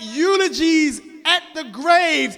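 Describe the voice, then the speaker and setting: Over noticeable background noise, a man uses a raised, projected voice at an extremely high pitch. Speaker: religious lecturer. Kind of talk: sermon. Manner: loud.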